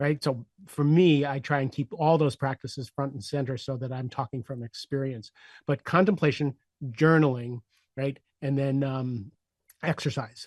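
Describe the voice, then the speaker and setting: With an unremarkable speaking voice, a man talks at a moderate pace and fairly high pitch, his intonation fairly even and the sound dry and close with no echo. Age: 60s. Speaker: leadership coach. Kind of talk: podcast interview.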